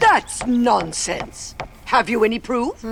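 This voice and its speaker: A put-on character voice sits at a fairly high pitch. It moves at a fairly slow pace over clear background noise. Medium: video game. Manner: bossy, shouting.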